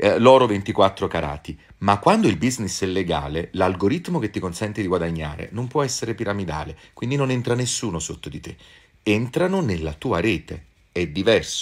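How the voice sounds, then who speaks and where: Against a quiet background, a man with a fairly low pitch talks at a moderate pace, his pitch swinging very widely. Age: old. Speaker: actor and social media creator; actor, social media creator. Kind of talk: casual chat answering viewer comments. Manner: animated. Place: home room. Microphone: phone near.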